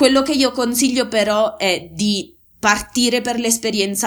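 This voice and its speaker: A woman talks at a moderate pace in an unremarkable speaking voice with ordinary pitch variation. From Molise, Italy. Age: 30s. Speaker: aid worker. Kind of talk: casual interview.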